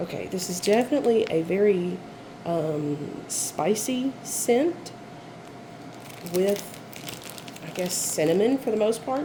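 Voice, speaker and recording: Against noticeable background noise, a woman speaks very slowly at a medium pitch with lively intonation. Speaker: candle and wax melt reviewer. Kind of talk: casual product review haul. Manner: hesitant, many fillers.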